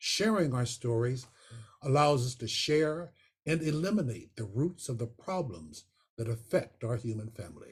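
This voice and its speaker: With an American accent, a man speaks at a moderate pace in a somewhat breathy voice that swings very widely in pitch. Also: medium pitch for a man. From western Pennsylvania. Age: 80s+. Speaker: photographer and retired professor. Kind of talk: personal testimony talk. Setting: video call.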